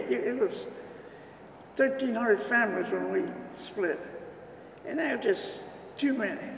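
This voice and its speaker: Noticeable background noise and audible room echo fill the recording. Over it, a man speaks at a moderate pace. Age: 80s+. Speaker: retired civil engineer, church founding member. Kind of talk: oral history interview. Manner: halting.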